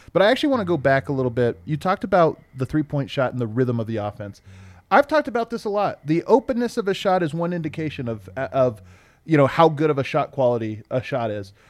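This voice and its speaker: A man's fairly high voice at a very fast pace with very wide pitch swings, the sound dry and close with no echo, on a very clean recording with a silent background. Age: 30s. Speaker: sports podcast host. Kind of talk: casual chat. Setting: studio with live streaming audience.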